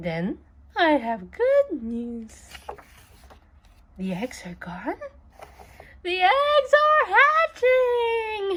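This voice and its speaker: A woman's put-on character voice at an extremely high pitch, very slow, with long, frequent pauses. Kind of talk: read-aloud for children. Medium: read story. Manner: calm, cheerful.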